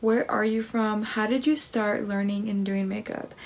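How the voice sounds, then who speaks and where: Her voice sits fairly high and comes out somewhat breathy. The woman talks at a fairly slow pace in a flat, monotone way. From US Midwest, Kansas. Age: 20s. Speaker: makeup artist; makeup vlogger. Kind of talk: makeup tutorial. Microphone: phone near.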